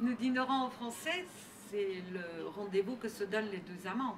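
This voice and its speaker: A woman with a slight non-native accent and medium pitch speaks at a fairly slow pace, with audible room echo and noticeable background noise. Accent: slight foreign. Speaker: novelist. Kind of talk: interview. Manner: halting, many hesitations.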